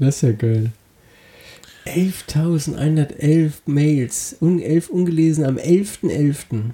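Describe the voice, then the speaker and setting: Somewhat breathy and fairly high in pitch, a man speaks at a very slow pace with long, frequent pauses. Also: ordinary pitch variation. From Wiesbaden, Hesse. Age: 30s. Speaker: comedy podcast co-host. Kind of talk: casual comedic chat.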